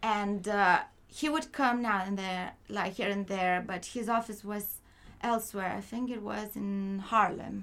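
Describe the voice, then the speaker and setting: With a Lithuanian accent, a woman talks at a medium pitch and a fairly slow pace. Her intonation stays fairly even. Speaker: film producer. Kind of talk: interview.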